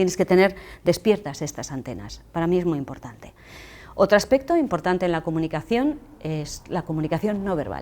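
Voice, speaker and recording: Her pace fairly quick, a woman speaks at a fairly low pitch with a dark, mellow tone, vocal fry and lively intonation, in a very clean recording with a silent background. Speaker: public speaking trainer. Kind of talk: lecture. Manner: fast.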